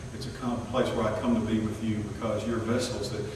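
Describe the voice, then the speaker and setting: Strong room echo and noticeable background noise surround a man's voice. He talks at a fairly quick pace in a monotone, flat intonation. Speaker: preacher. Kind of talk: sermon. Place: church.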